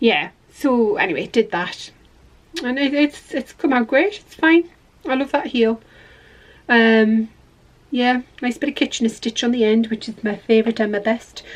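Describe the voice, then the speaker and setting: Lively intonation runs through the speech, which is broken by long, frequent pauses. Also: woman, high pitch for a woman, big swings in loudness. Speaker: knitting podcaster. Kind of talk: casual chat. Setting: garden shed. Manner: fast.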